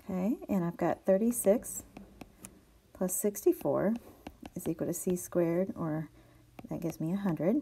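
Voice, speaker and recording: Her voice is somewhat breathy, with a dark, mellow tone and medium pitch. This woman leaves long, frequent pauses. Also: ordinary pitch variation, moderate pace. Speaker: math teacher. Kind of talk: video lesson tutorial.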